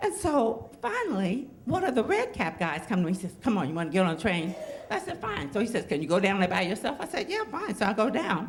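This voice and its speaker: Against noticeable background noise, a woman talks at a fairly quick pace with very wide pitch swings. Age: 70s. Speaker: storyteller. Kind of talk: storytelling.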